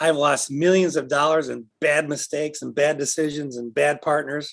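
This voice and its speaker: A man with a fairly high pitch speaks at a fairly slow pace. The recording is very clean, with a silent background. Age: 60s. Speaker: motivational speaker and author. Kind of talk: talk. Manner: halting.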